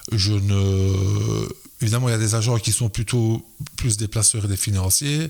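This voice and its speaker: A man speaks with a fairly low pitch. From Belgium, Liège area. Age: 60s. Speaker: football players' agent and school educator. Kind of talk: podcast interview. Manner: hesitant, many fillers.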